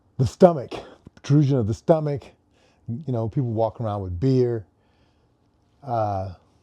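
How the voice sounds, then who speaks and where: A man's dark, mellow tone at medium pitch, lively in intonation, moderate in pace, with long, frequent pauses against a quiet background. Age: 70s. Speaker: fitness coach for older adults. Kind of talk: casual vlog talk while warming up. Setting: home garage. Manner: hesitant, many fillers.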